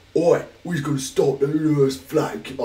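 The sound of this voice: Putting on a character voice in a Cockney accent, a man speaks at a moderate pace with a fairly high pitch.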